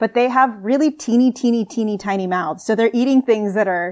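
In a plain, everyday voice with an American accent, a woman speaks at a fairly high pitch with ordinary pitch variation. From US Southwest. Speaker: marine biologist. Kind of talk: casual chat.

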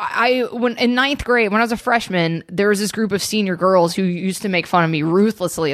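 This is an ordinary speaking voice with an American accent and lively intonation. The pace is fairly quick, with hardly any pauses. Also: woman. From US South, suburban Atlanta, Georgia. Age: 30s. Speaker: comedy writer and comedian. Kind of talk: casual chat.

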